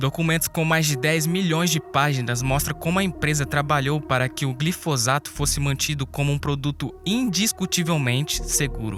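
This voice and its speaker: A man talks at a moderate pace in a fairly high pitch, with ordinary pitch variation and hardly any pauses. His loudness stays very even while music plays in the background. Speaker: documentary narrator. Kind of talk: documentary narration.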